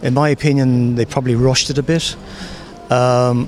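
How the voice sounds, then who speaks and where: With an Irish accent, a man at medium pitch speaks at a moderate pace and with fairly even intonation over noticeable background noise. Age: 60s. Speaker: member of the public. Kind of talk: vox pop interview.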